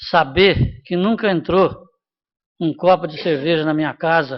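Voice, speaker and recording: His pitch varies in an ordinary way. This man speaks with a high pitch. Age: 70s. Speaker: city councillor. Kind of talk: council debate remarks. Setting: city council chamber. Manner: halting.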